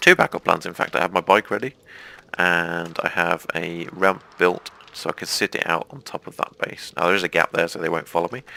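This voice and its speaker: In an English accent, a man speaks at a moderate pace with a very deep, low pitch, the sound dry and close with no echo but with noticeable background noise. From England, mining family. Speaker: gaming YouTuber. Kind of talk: let's play commentary.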